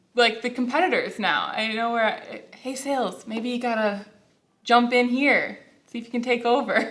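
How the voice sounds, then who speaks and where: A woman speaks loudly in a high voice at a moderate pace, with audible room echo. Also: ordinary pitch variation. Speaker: customer service manager. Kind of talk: casual interview. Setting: workplace studio, in safety vests.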